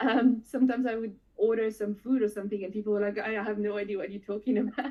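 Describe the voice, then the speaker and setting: A very fast woman's voice, fairly high in pitch, with fairly even intonation. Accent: French. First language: French. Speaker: FPV drone pilot. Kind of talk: casual chat. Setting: live stream.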